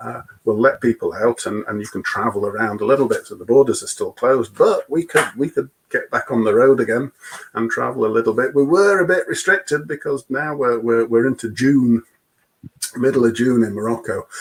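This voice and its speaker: With a British accent, a man speaks at a fairly quick pace. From UK. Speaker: expedition vehicle owner. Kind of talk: testimony. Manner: repeats words often, halting.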